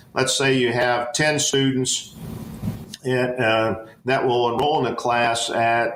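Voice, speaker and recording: A medium-pitched man with an American accent, over noticeable background noise. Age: 60s. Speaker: education professor. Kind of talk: interview. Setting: podcast. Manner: halting, many fillers.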